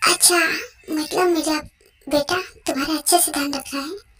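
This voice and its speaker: A woman puts on a character voice and delivers it at a fairly quick pace. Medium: fan dub. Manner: gentle, patient.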